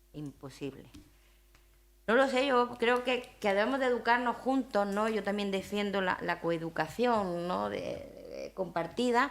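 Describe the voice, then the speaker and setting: A woman speaks in a strong Aragonese accent. Her pitch is fairly high. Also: lively intonation, fairly slow pace. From Spain, Zaragoza (Aragon). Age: 50s. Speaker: university leader, invited speaker. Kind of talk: talk with audience questions. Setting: breakfast event with audience.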